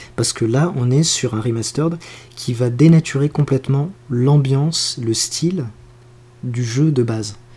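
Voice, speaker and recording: A man's somewhat breathy, mid-pitched voice with a dark, mellow tone, fairly slow delivery and ordinary pitch variation. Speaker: podcast co-host. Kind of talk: casual chat.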